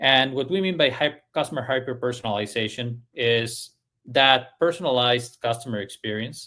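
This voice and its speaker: A man with a non-native accent and ordinary pitch variation. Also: medium pitch for a man, moderate pace. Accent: foreign. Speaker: service industry analyst. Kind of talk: podcast discussion. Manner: halting, many fillers.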